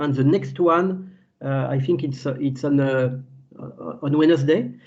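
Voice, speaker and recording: Over audible room echo, a man talks at a fairly slow pace, his fairly high pitch moving with ordinary variation. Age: 60s. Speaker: agricultural scientist. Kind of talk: webinar lecture. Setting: video call webinar. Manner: halting, many fillers and repetitions.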